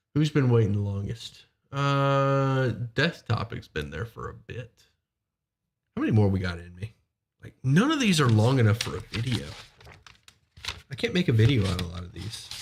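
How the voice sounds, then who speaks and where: At a moderate pace, a medium-pitched man speaks with very wide pitch swings and big swings in loudness. His voice is somewhat breathy, with long, frequent pauses. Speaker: D&D streamer taking calls. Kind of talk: live stream chat.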